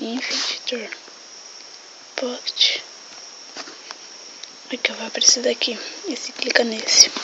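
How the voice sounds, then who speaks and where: With long, frequent pauses, the whispering moves at a fairly slow pace as noticeable background noise carries on. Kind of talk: casual game tutorial.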